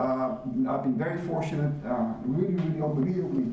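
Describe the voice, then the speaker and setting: With a Spanish accent, a man at a fairly high pitch speaks at a moderate pace with ordinary pitch variation, amid noticeable background noise and audible room echo. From Cuba, raised in Miami. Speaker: business executive. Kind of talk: lecture.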